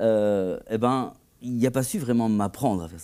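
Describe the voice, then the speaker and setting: A man speaks at a medium pitch with a dark, mellow tone. The recording is very clean, with a silent background. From Belgium, Tournai (Wallonia). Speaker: composer and conductor. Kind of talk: TV interview. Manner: hesitant, with many fillers and repetitions.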